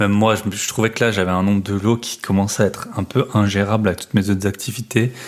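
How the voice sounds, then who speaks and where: Talking at a very fast pace with hardly any pauses, a man uses a fairly low pitch. His intonation stays monotone and flat. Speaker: real estate investment podcaster. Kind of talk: casual podcast monologue.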